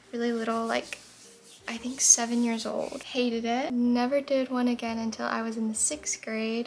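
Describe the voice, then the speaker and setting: A high-pitched woman's voice in an American accent, with monotone, flat intonation and noticeable background noise. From Florida. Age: 20s. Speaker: lifestyle vlogger. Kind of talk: get-ready-with-me vlog. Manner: calm, slow.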